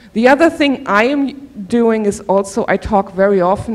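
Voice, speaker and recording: A woman speaks with a German accent. Her intonation is lively. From Germany. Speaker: professor. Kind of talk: workshop presentation. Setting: auditorium.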